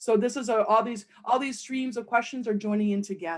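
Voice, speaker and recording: Her pitch fairly high and its variation ordinary, a woman talks at a moderate pace. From Springfield, Massachusetts, Puerto Rican born. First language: Spanish. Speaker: poet, panel moderator. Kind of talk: panel introduction.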